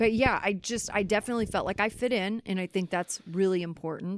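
Using a plain, everyday voice, a woman with an American accent talks at a fairly quick pace. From Kansas City, US Midwest. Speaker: podcast host and life coach in addiction recovery. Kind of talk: casual interview.

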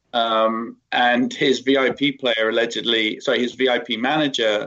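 Speaking with a British accent, a man talks at a fairly slow pace with a medium pitch and fairly even intonation. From UK. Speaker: tech company CEO. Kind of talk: interview.

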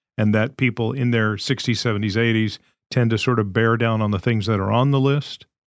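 An ordinary speaking voice moves at a fairly quick pace with fairly even intonation. The recording is very clean, dry and close, with a silent background and no echo. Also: man. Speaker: podcast co-host. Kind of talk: casual chat.

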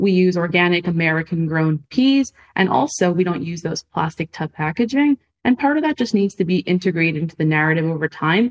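Lively in intonation, a woman with a plain, everyday voice speaks at a fairly quick pace and a fairly low pitch. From Montreal, Canada. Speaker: food startup founder. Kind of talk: interview.

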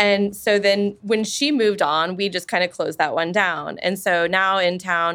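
A woman with a normal speaking voice and medium pitch talks at a fairly slow pace on a very clean recording with a silent background. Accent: American. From Wichita, Kansas. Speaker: small business owner. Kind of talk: interview.

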